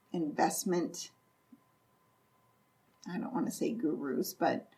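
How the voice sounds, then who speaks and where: A woman's somewhat breathy, dark and mellow voice in an Upper Midwest accent, very slow in pace and with very wide pitch swings. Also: medium pitch for a woman. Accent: Upper Midwest American. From North Central Iowa. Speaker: real estate investor and property manager. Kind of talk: podcast interview answer.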